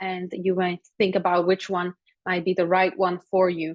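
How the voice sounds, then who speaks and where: A woman speaks with a Slovak accent. Her pace is moderate. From Slovakia. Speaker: psychology lecturer. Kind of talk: webinar presentation. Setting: online webinar. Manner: hesitant, many fillers.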